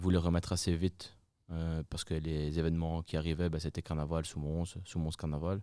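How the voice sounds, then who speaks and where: Very deep and low, this man's voice has a dark, mellow tone. His intonation is monotone and flat. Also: very clean recording, silent background. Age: 20s. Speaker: friterie owner, entrepreneur. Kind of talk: interview. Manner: hesitant, many fillers.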